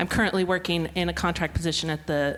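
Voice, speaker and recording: With an American accent, a woman speaks very fast in a very deep, low voice with fairly even intonation. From United States. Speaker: museum sector contractor. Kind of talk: panel introduction.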